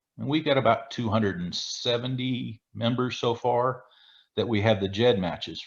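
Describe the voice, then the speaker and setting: A man talks at a moderate pace with medium pitch. He has a normal speaking voice, and the background is quiet. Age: 60s. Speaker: retired police chief, genealogy researcher. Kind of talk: video call presentation.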